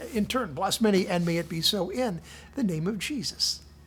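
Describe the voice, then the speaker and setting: The speaker talks at a moderate pace with a Midwestern American accent. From southern Indiana. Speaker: devotional speaker. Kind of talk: casual devotional talk.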